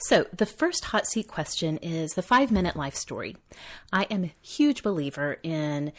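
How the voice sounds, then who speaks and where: A woman with an American accent speaks at a moderate pace in a fairly low voice, her pitch swinging very widely, on a very clean recording with a silent background. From Oklahoma, US. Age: 30s. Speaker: podcast host. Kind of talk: podcast monologue.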